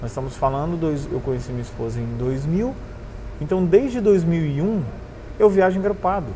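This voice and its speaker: With lively intonation and a fairly high pitch, a man speaks at a moderate pace amid noticeable background noise and audible room echo. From northern Paraná, Brazil (Cornélio Procópio, near Londrina). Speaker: motorcycle traveler. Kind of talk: casual interview storytelling. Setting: motorcycle bar.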